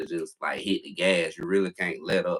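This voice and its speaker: At a moderate pace, a man talks with a Southern US accent. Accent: Southern country. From US South, South Carolina. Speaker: YouTuber. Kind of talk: casual interview. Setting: livestream.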